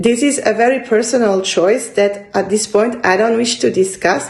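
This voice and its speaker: Speaking in a French accent, a woman uses a fairly high pitch and lively intonation over noticeable background noise. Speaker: book vlogger. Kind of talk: casual vlog monologue. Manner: halting, searching for words.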